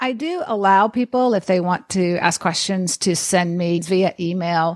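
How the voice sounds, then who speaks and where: A woman with an American accent uses an ordinary speaking voice at a fairly slow pace, medium in pitch with ordinary pitch variation. The recording is very clean with a silent background and a dry, close sound with no echo. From grew up abroad in Vietnam and the Philippines, American parents. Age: 50s. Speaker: geriatric nurse and podcaster. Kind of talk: podcast interview.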